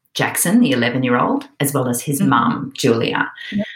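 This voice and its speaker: In an Australian accent, a woman speaks fairly slowly with a very deep, low pitch that swings very widely. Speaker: author. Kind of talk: interview chat.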